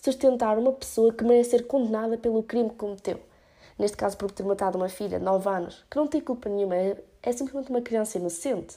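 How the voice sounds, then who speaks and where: Dark and mellow in tone, a woman's voice sits fairly high. Her pitch varies in an ordinary way. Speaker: podcast host. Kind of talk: solo opinion podcast. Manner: casual with English fillers.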